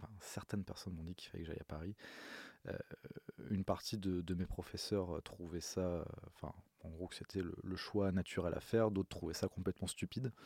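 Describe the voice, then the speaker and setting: A man talks at a fairly quick pace with a very deep, low pitch and a dark, mellow tone, his intonation fairly even. Long, frequent pauses break up the dry, close sound, which has no echo. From Corsica, Ajaccio. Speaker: bassist and music producer. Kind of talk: casual interview. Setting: recording studio.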